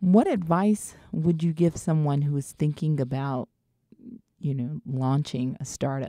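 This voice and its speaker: The voice has a slight Southern US accent and a dark, mellow tone, with ordinary pitch variation. It comes at a fairly slow pace in a dry, close sound with no echo. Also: woman, very deep, low pitch for a woman. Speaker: podcast host. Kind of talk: interview.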